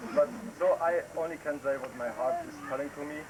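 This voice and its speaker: The speaker uses a German accent at a fairly slow pace with fairly even intonation, over noticeable background noise. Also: man. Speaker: visiting relative from abroad. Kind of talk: farewell speech. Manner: halting.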